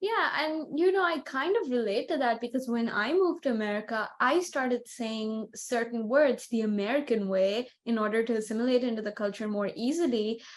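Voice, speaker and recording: Her voice is high-pitched, with lively intonation. The woman talks at a fairly quick pace with hardly any pauses. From India (Bengali-speaking family). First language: Bengali. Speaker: podcast co-host. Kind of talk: casual chat.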